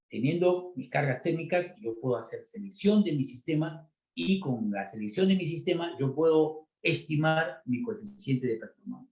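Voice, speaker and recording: The speech moves at a moderate pace with hardly any pauses. Its intonation is lively. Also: man, fairly high pitch for a man. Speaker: refrigeration engineer and instructor. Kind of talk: technical lecture. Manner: many filler words and hesitations.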